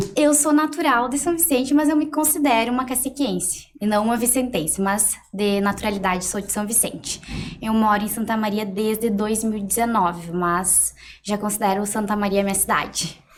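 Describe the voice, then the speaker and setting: A woman's somewhat breathy voice moves at a moderate pace, its intonation lively. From Rio Grande do Sul, Brazil (Cacequi). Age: 20s. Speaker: entrepreneur, mentee. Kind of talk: interview podcast.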